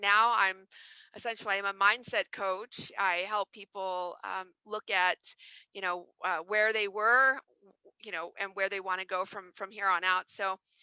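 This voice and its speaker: In a dry, close recording with no echo and a quiet background, a woman with an American accent speaks fairly slowly at a medium pitch, her bright, sharp tone flat and monotone with big swings in loudness. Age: 40s. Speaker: executive recruiter and mindset coach. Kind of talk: interview, life story. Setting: live video stream. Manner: halting, repeats words.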